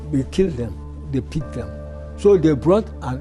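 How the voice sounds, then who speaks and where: A man's voice comes through with music running behind it. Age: 80s+. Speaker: World War II veteran. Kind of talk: interview answer.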